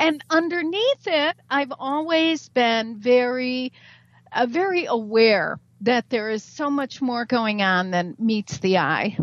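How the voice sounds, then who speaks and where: A woman's high voice with very wide pitch swings at a very slow pace. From US Midwest, Chicago. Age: 60s. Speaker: spiritual author and teacher. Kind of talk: radio interview. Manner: halting.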